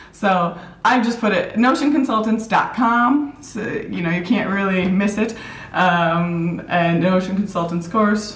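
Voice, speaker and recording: A woman with an American accent talks at a fairly slow pace and a medium pitch, with ordinary pitch variation. Audible room echo and noticeable background noise are present. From US Midwest, Minneapolis, Minnesota. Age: 30s. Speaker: productivity app consultant. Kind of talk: casual interview.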